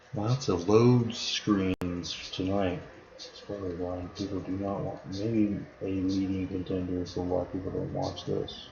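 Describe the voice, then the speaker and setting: Very deep, low pitch from a man at a fairly slow pace, with fairly even intonation, audible room echo and noticeable background noise. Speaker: gaming streamer. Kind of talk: live stream gameplay commentary. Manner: casual, talking to himself.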